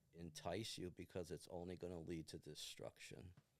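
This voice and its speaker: A man's very deep, low voice with vocal fry at a fairly slow pace. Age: 60s. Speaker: retired firefighter. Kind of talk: interview. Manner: earnest.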